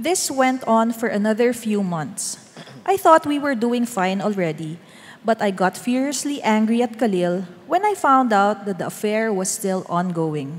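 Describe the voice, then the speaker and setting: Noticeable background noise fills the recording. Over it, a woman talks with lively intonation. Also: fairly high pitch for a woman. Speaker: church member giving testimony. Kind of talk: testimony.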